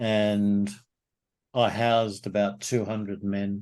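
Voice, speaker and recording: A man with an Australian accent speaks very slowly in a fairly low pitch, his dark, mellow tone held to a flat, monotone delivery. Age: 70s. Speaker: men's group facilitator. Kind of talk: interview.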